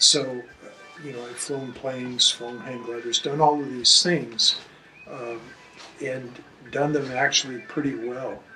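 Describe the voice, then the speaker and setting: There is noticeable background noise around this man's voice. He speaks at a medium pitch with monotone, flat intonation. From Alaska. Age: 70s. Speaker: motorcycle rider raising awareness. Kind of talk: interview testimony. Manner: halting.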